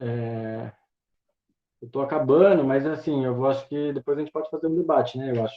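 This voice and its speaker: The speech moves at a fairly quick pace with ordinary pitch variation, broken by long, frequent pauses. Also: man, fairly high pitch for a man. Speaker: teaching intern giving a university class. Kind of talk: lecture. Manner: fast; halting, many fillers.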